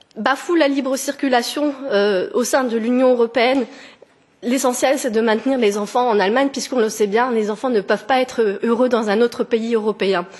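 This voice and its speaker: A woman speaks at a high pitch and a moderate pace, with ordinary pitch variation and very even loudness, over noticeable background noise. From France. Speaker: petitioner. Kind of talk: testimony. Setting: parliamentary committee hearing. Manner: halting, with hesitations.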